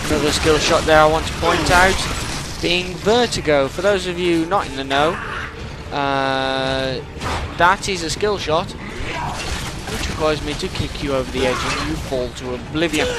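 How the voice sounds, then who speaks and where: With music in the background and audible room echo, the speech moves at a fairly slow pace with ordinary pitch variation. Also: man, fairly high pitch for a man. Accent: British. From Britain. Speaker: gaming commentator. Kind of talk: post-recorded gameplay commentary. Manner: casual, rambling.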